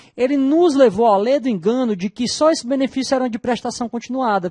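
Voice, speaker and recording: With a northeastern Brazilian accent, a man speaks at an extremely high pitch with ordinary pitch variation and a moderate pace, in a dry, close sound with no echo against a quiet background. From Northeast Brazil. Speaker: law professor. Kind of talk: lecture.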